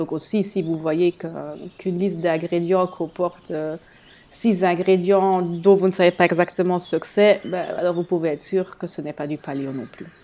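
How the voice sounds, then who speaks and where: At a moderate pace, a woman speaks with fairly even intonation and a fairly low pitch. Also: big swings in loudness. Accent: German. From eastern Belgium, German-speaking area. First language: German (speaking French). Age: 30s. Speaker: health blogger. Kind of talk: solo podcast monologue. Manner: hesitant, many fillers.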